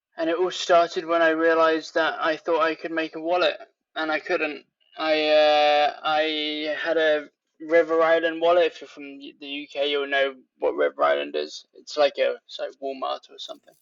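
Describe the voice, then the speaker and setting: A man speaks in a British accent. His pace is moderate. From England. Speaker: leatherworker. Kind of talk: casual interview.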